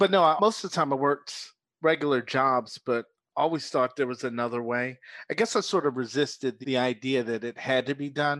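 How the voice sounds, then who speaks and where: A man's ordinary speaking voice at medium pitch, with an American accent, a fairly quick pace, ordinary pitch variation, and a dry, close sound with no echo over a quiet background. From Philadelphia, US. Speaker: business coach. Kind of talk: casual interview.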